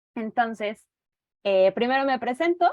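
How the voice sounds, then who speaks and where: The woman's pitch sits high. She talks at a fairly slow pace. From central Mexico (Toluca, State of Mexico). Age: 30s. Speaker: teacher and reading mediator. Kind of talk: online presentation. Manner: hesitant fillers.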